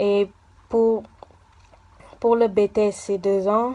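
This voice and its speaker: Flat, monotone intonation from a woman at a medium pitch. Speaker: university student. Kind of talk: interview. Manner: halting, many fillers.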